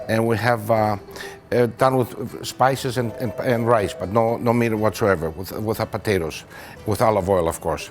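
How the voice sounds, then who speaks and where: Music plays in the background as a man with a Greek accent speaks at a moderate pace. His pitch is medium, with ordinary pitch variation. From Greece, raised in Toronto from age nine. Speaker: restaurant owner. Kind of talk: interview. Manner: halting, many fillers.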